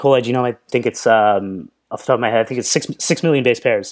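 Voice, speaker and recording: Heard in a very clean recording with a silent background, a man speaks at a medium pitch with lively intonation. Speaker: software founder and developer. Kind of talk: casual interview chat. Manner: fast talker.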